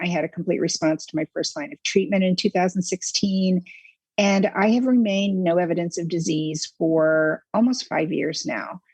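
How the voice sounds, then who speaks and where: At a moderate pace, a woman speaks somewhat breathily in a dry, close sound with no echo. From US Midwest, Indiana. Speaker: metastatic breast cancer patient. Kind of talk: panel discussion.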